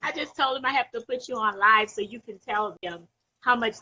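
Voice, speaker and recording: Loud and animated, a woman speaks at a moderate pace with a fairly high pitch and a bright, sharp tone. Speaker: live stream caller. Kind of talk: casual chat.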